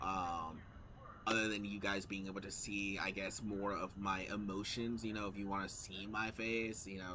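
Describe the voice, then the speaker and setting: Audible room echo surrounds a man with a fairly low pitch. He speaks at a moderate pace with monotone, flat intonation. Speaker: gaming streamer. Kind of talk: casual chat. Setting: live stream. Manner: talkative.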